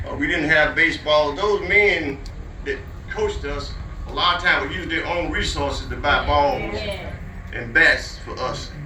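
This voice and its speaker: The speaker has a South Carolina accent. There is noticeable background noise and audible room echo. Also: man, moderate pace. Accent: Southern US (South Carolina). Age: 70s. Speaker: community elder speaking at park centennial. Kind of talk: speech to a crowd.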